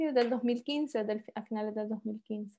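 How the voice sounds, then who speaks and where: A woman with a Honduran accent speaks in a dark, mellow tone. Her intonation is fairly even, and the background is quiet. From Honduras, San Pedro Sula. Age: 30s. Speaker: engineer and author. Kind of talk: interview.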